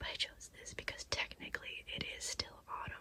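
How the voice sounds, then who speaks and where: Through noticeable background noise, a woman's whisper moves at a moderate pace. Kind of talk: casual talk to camera. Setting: recorded in bed, close-up. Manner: whispered.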